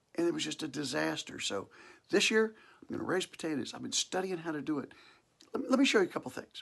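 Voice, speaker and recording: Talking at a very fast pace, a man uses a high pitch with very wide swings. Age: 60s. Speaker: farmer. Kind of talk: tutorial. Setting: basement of farmhouse. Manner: casual, folksy with fillers.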